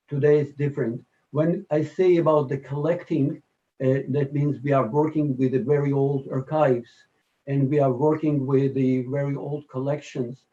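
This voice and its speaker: This man's voice sits fairly high in pitch, with a dark, mellow tone and a somewhat breathy quality. He keeps a moderate pace and fairly even intonation. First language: Yiddish and Romanian. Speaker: musician. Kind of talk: interview. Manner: halting.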